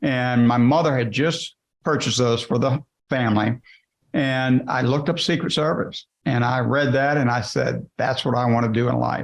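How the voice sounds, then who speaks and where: A man speaks at a moderate pace with a medium pitch. His loudness stays very even, and his intonation is fairly even. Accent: Louisiana. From South Louisiana. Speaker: business founder, former Secret Service agent. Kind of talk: interview.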